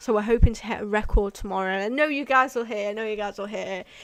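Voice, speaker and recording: A woman with a British accent, fairly high-pitched, with ordinary pitch variation and a very fast pace. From UK. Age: 20s. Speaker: urban exploration youtuber. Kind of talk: livestream chat. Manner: casual, rambling sign-off.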